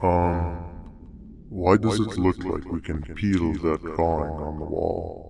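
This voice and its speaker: A man's put-on character voice, very deep and low, at a fairly slow pace over clear background noise. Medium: video game.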